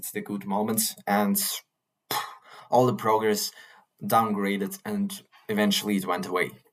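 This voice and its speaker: This man's voice has a medium pitch. He moves at a moderate pace with ordinary pitch variation. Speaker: vlogger. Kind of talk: casual monologue. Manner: animated.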